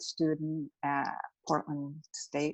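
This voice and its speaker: A woman is speaking. The background is quiet. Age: 50s. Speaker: painter and former tattoo artist. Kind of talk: interview conversation. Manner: hesitant with many fillers.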